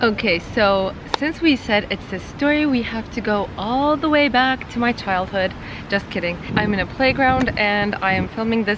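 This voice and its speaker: With a slight Turkish accent, a woman speaks in a fairly high voice with ordinary pitch variation against noticeable background noise. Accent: little Turkish. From Turkey. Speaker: marketing YouTuber. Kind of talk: personal vlog storytelling. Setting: outdoors in a playground.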